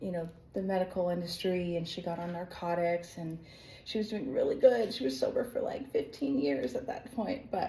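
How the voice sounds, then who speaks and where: A woman with an American accent talks at a moderate pace in a medium pitch, her intonation lively and her voice somewhat breathy. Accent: American, slightly shifted from living abroad. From United States. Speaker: online business coach, former dancer and performer. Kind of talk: personal testimony. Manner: casual, filler-heavy (like, um).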